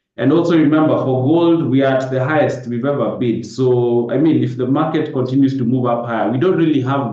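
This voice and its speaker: A man's medium-pitched voice at a fairly quick pace, with ordinary pitch variation and audible room echo. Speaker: forex trader. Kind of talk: live webinar market analysis. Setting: live Zoom webinar. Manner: fast.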